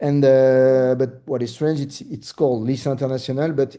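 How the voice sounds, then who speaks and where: A man with a French accent speaks at a moderate pace in a medium pitch, his tone dark and mellow against a quiet background. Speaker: real estate broker. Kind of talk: presentation. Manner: halting, many fillers.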